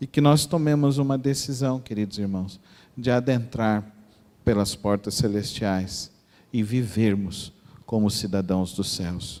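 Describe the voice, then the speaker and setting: In a Mato Grosso do Sul accent, the speaker talks at a fairly slow pace with a dark, mellow tone and ordinary pitch variation. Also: man, fairly low pitch for a man. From Mato Grosso do Sul, Brazil (Dourados). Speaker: pastor. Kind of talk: sermon.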